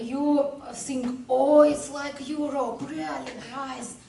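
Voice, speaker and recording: A speaker with a non-native accent uses ordinary pitch variation, heard through audible room echo and noticeable background noise. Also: woman. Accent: non-native English, language barrier. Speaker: sailor. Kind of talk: presentation. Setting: club room with audience. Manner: halting.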